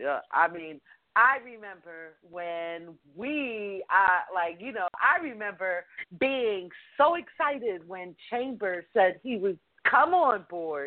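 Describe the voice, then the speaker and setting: Speaking very slowly at a medium pitch, a woman makes very wide pitch swings and big swings in loudness. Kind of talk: casual chat.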